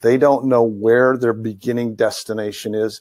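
Here is a man with a normal speaking voice. He keeps a medium pitch and a moderate pace. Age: 50s. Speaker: chiropractor and practice management consultant. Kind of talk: webinar lecture.

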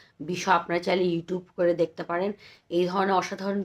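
A woman's medium-pitched voice in a flat monotone. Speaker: poetry vlogger. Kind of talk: poetry reading and casual commentary. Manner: chatty, talkative.

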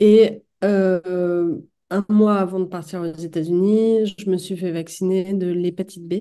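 Over a quiet background, a woman speaks very slowly in a dark, mellow tone with monotone, flat intonation. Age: 40s. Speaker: author and multiple sclerosis patient; podcast guest. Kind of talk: testimony. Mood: calm, reflective. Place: home room. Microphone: webcam.

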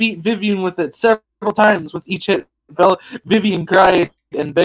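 With nothing much behind it, a natural voice reads a passage aloud.

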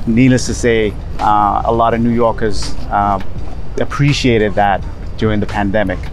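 A man's fairly low voice at a moderate pace, with fairly even intonation, dry sound with no echo and clear music in the background. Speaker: travel vlogger. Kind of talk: casual vlog chat. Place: waterside. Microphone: phone near.

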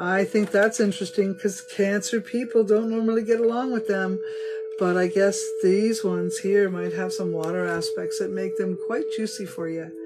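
A woman speaks at a moderate pace amid loud background noise. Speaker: tarot reader. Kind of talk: casual reading to viewers. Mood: warm, upbeat. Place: home room. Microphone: phone near.

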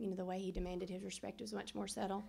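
A woman's Southern US accent with vocal fry, over light background noise. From US South, Middle Tennessee; Tennessee. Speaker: hall of fame inductee, former basketball player. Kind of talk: acceptance speech. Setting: banquet room with audience. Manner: halting, many fillers. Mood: warm, reminiscing. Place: hall. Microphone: podium.

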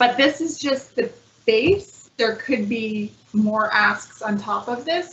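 A woman speaks slowly in a fairly high pitch with a fairly bright tone, vocal fry and ordinary pitch variation. Audible room echo is present.

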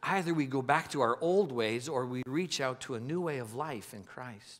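A man talks at a moderate pace with ordinary pitch variation and hardly any pauses against a quiet background. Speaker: preacher. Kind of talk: sermon. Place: stage. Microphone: headset.

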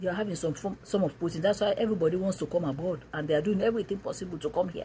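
A woman's voice comes through somewhat breathy. Light background noise is present. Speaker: preacher. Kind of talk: sermon. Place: home room. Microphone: phone near.

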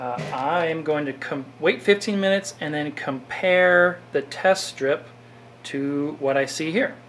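A man speaks very slowly at a fairly high pitch, with ordinary pitch variation. Light background noise can be heard. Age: 40s. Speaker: orchid grower and video creator; video creator. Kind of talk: tutorial. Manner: halting. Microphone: phone near.

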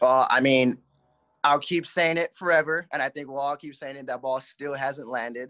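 Over a quiet background, a man talks at a moderate pace. His intonation is fairly even. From Southern California, Covina area; California. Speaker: minor league baseball player. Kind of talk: interview; interview answer. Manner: halting. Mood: relaxed, grateful. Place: home room. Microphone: video call.

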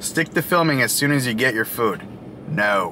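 A man speaks against light background noise. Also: dry sound with no echo. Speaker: food reviewer. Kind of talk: casual vlog chat. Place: car. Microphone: phone near.

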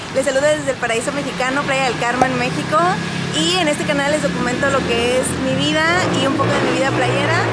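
Loud background noise surrounds a woman who speaks at a fairly quick pace. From Mexico. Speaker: content creator. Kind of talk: casual vlog talk to camera. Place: shop. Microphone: phone near.

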